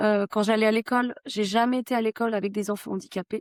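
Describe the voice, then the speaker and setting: Here is an ordinary speaking voice: a woman with a fairly high pitch and fairly even intonation. She talks at a fairly quick pace in a dry, close sound with no echo. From France, Haute-Savoie. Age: 30s. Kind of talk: podcast interview, personal testimony.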